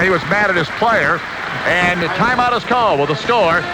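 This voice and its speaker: A man speaks in a raised, projected voice at a fairly quick pace with ordinary pitch variation. Noticeable background noise is present. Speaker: radio sports play-by-play announcer. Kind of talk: live basketball play-by-play commentary. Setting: radio broadcast of a college basketball game. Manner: fast, energetic.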